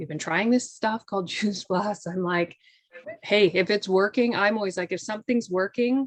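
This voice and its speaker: A woman speaks at a moderate pace with ordinary pitch variation. Her pitch is medium. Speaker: fitness and yoga instructor. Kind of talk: casual interview chat. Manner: animated, chatty with many fillers.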